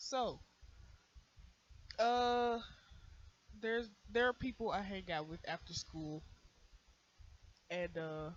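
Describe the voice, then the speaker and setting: Very slow delivery with long, frequent pauses. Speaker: YouTube storyteller. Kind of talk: casual storytelling. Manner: halting, many fillers.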